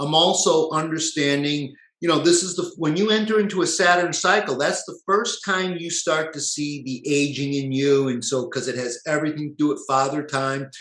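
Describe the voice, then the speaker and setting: This is an unremarkable speaking voice from a man at a moderate pace. He uses ordinary pitch variation and hardly any pauses. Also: fairly high pitch for a man. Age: 50s. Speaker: natural health practitioner. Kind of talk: lecture. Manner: casual, filler-heavy.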